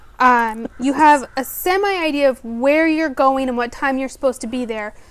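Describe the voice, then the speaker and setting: A woman's high-pitched voice with lively intonation over noticeable background noise. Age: 30s. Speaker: podcast host. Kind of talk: scripted introduction; casual chat.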